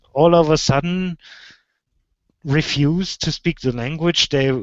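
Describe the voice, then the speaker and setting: At a very slow pace, a man with a German accent talks with a fairly high pitch and fairly even intonation. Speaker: video show host. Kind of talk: casual chat. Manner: halting, repetitive.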